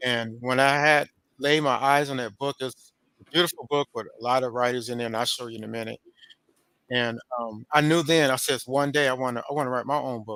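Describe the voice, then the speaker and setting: In an American accent, a man speaks at a medium pitch with a bright, sharp tone and fairly even intonation. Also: dry, close sound with no echo. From Oakland, California. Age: 50s. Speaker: poet and author. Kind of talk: interview. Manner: halting, many fillers and repeats.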